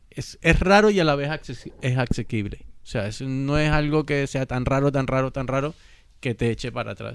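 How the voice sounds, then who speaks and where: A man at a medium pitch, moderate pace and ordinary pitch variation. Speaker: music podcast panelist. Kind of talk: casual chat.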